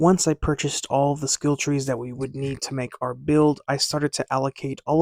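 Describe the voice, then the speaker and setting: Quiet and at a fairly quick pace, a man speaks at a fairly high pitch in monotone, flat intonation, with a dry, close sound and no echo on a very clean recording with a silent background. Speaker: gaming YouTuber. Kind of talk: gameplay narration. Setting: at home.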